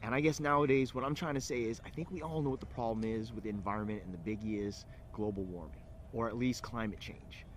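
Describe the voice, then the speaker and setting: A man of medium pitch in a Californian accent, very fast, with lively intonation. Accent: California. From California (Alameda, near Oakland). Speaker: entrepreneur. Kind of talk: personal pitch to camera. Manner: hesitant, many fillers.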